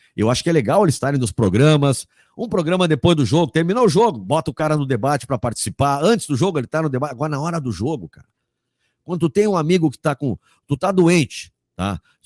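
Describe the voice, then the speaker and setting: Very fast and animated, a man with a fairly high pitch makes very wide pitch swings and big swings in loudness, in a very clean, dry, close recording with a silent background and no echo. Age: 60s. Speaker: sports journalist and commentator. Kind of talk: interview.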